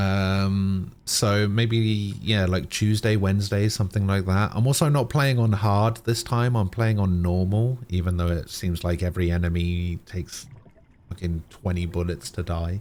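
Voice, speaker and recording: A man with a British accent talks in a fairly low voice. His pace is moderate, with ordinary pitch variation. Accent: British accent, acquired. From Germany. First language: German. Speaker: game streamer. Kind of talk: casual chat.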